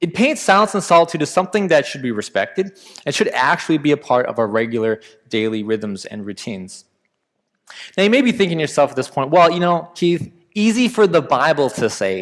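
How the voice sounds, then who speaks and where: The pace is fairly quick. The pitch swings very widely. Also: man, fairly high pitch for a man. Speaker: pastor. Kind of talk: sermon. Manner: fast.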